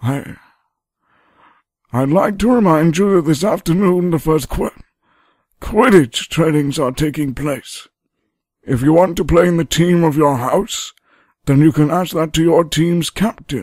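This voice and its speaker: A man uses a put-on character voice, fairly high in pitch. He moves at a moderate pace with long, frequent pauses. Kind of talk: school announcement. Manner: hesitant, stuttering.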